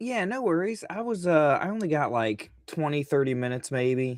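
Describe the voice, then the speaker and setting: With an American accent, the speaker uses lively intonation at a moderate pace in a dry, close sound with no echo. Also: man. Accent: Southern, varies. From Virginia. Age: 50s. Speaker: comic book creator. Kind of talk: casual chat.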